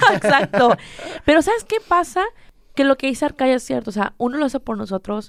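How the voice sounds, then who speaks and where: Very fast and with lively intonation, a woman speaks in a very clean recording with a silent background. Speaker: social media influencer. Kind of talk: casual chat.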